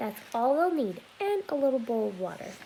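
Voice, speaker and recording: Over clear background noise, a woman puts on a high character voice with very wide pitch swings. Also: moderate pace. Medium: read story.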